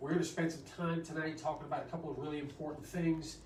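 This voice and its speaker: In a room with audible echo and noticeable background noise, a man talks at a fairly high pitch. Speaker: doctor. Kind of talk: health workshop talk. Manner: casual, many fillers.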